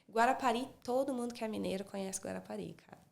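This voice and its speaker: A woman with a slight Minas Gerais accent speaks at a fairly quick pace in a fairly high pitch. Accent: slight Minas Gerais Brazilian Portuguese. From Brazil, Espírito Santo. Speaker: speech therapist. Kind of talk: casual interview chat.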